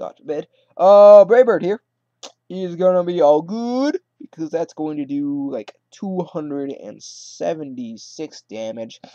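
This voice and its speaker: A man speaks at a high pitch with very wide pitch swings. The sound is dry and close, with no echo. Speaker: gaming commentator. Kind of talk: gameplay commentary. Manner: casual, rambling with fillers.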